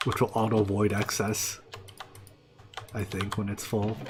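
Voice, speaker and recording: Against noticeable background noise, a man with a fairly low pitch speaks at a moderate pace. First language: not English. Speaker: video game streamer. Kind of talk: live gameplay commentary. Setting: home, live stream. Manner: casual, scattered self-talk.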